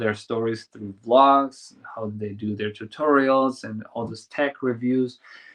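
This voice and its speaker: A man at medium pitch with a German accent, speaking at a fairly slow pace in a flat monotone. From Germany, small village. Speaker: filmmaker and YouTuber. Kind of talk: interview. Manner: halting.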